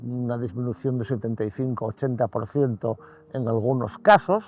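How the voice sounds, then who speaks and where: A man talks at a moderate pace in an unremarkable speaking voice of medium pitch with ordinary variation. The sound is dry and close, with no echo. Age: 60s. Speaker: birdwatcher. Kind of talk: casual interview. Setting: outdoors, beach.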